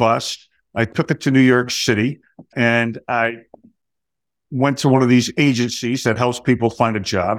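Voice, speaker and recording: With a New Jersey accent, a man speaks at a medium pitch and moderate pace, his intonation fairly even. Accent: New Jersey American. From US Northeast, New Jersey (Middlesex County). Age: 60s. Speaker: Marine Corps veteran, retired. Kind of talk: interview.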